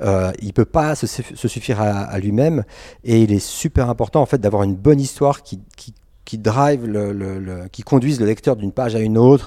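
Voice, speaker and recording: Loudness swings widely as a man speaks at a moderate pace with ordinary pitch variation. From Switzerland, Geneva. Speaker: comic book author. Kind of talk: interview. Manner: halting.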